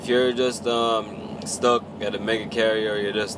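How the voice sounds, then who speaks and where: With a relaxed tone and monotone, flat intonation, a man talks amid noticeable background noise and audible room echo. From Jamaica. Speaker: truck driver vlogger. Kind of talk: casual vlog. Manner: casual, relaxed.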